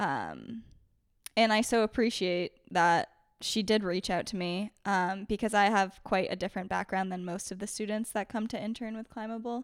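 A woman's ordinary speaking voice at medium pitch with an American accent, moderate pace and fairly even intonation, on a very clean recording with a silent background. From Maine, US. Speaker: former intern, graduate student. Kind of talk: interview.

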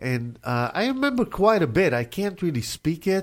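Someone with an Israeli accent speaks at a fairly slow pace. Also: man. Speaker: radio host. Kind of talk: casual radio interview. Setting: radio studio.

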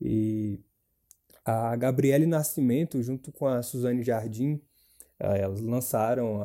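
Very slow and fairly even in intonation, a man speaks at a medium pitch. His tone is dark and mellow. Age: 20s. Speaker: university student and activist. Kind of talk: casual chat.

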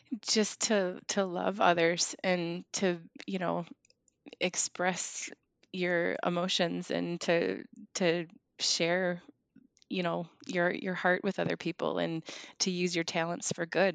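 Very slow speech with long, frequent pauses, in an American accent. The intonation is fairly even, and the sound is dry and close with no echo. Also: woman, fairly low pitch for a woman. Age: 30s. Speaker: bereaved daughter, small business owner. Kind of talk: personal testimony in interview. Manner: halting, frequent word repetitions.

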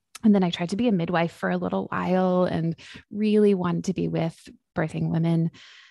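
A woman speaking at a fairly quick pace with a western Canadian accent. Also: very clean recording, silent background. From Vancouver, western Canada. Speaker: psychologist and author. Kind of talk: interview.

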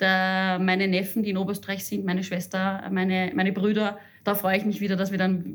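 At a very fast pace, a woman speaks at a medium pitch in a monotone, flat intonation with very even loudness. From Upper Austria. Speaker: head of a social counselling centre. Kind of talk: interview. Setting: office.

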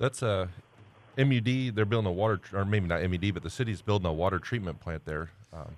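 Speaking at a very fast pace, a man uses a fairly low pitch with ordinary variation. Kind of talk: casual radio panel chat.

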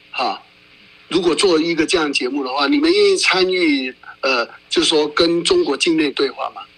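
A man keeps a moderate pace as noticeable background noise plays behind him. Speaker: radio host. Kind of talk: radio interview.

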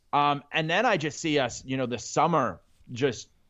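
A plain, everyday voice from a man, fairly high in pitch, at a moderate pace. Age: 30s. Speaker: guest, sports blogger. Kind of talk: casual chat.

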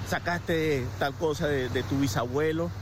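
A man's fairly high voice is heard through audible room echo and noticeable background noise. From Venezuela. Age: 40s. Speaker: motivational speaker. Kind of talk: personal reflection monologue. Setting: outdoors at a beach.

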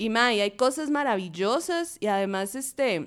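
In a Costa Rican accent, a woman talks at a moderate pace on a very clean recording with a silent background. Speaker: feminist media activist. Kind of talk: casual panel discussion.

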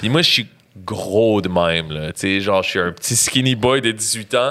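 A man talks with lively intonation. His pitch sits in the medium range. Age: 30s. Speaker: rapper. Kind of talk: casual chat.

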